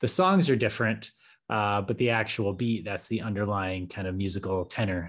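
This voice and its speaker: A man's fairly low-pitched voice, an ordinary speaking voice, at a moderate pace with fairly even intonation over a quiet background. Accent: American. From Colorado. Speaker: podcaster and Peace Corps veteran. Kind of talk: casual chat.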